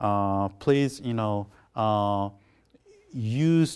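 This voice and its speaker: This man's voice sits fairly low in pitch, with ordinary pitch variation. The recording is very clean, with a silent background. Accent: Korean. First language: Korean. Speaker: professor. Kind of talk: lecture. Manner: halting.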